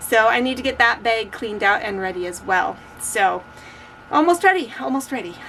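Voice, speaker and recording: A woman speaks at a fairly high pitch with very wide pitch swings. Noticeable background noise runs underneath. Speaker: crochet vlogger and market vendor. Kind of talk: casual vlog. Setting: garage.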